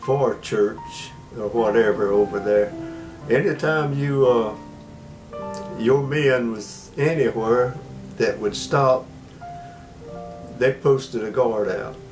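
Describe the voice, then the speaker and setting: With music in the background, a man of medium pitch speaks at a very slow pace with ordinary pitch variation and long, frequent pauses. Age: 80s+. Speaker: war veteran. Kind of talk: oral history interview. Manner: halting.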